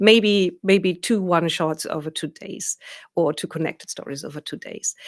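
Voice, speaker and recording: With a German accent, a woman speaks at a moderate pace in a fairly low pitch, her loudness swinging widely and her pitch varying in an ordinary way, on a very clean recording with a silent background. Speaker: professional dungeon master. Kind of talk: video interview.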